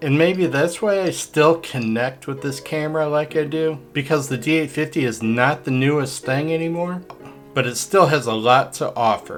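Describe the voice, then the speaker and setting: With music in the background, a man talks at a moderate pace in a fairly high pitch with ordinary pitch variation. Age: 60s. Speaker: landscape photographer. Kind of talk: casual talk to camera, camera review.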